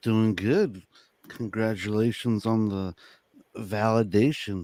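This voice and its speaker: A man's fairly low, dark and mellow voice with fairly even intonation at a very slow pace, in a very clean recording over a silent background. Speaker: crypto investor guest. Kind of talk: casual livestream chat.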